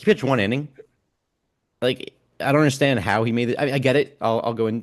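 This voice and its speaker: A man with an American accent talks at a very fast pace. His loudness swings widely. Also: medium pitch for a man, ordinary pitch variation. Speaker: baseball podcast host. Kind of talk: casual chat.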